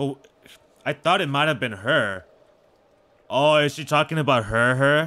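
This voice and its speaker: Fairly slow in pace, the speech carries a bright, sharp tone. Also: man, fairly high pitch for a man, ordinary pitch variation. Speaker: gaming video creator. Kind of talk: casual gameplay commentary. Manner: stuttering at times; casual, animated.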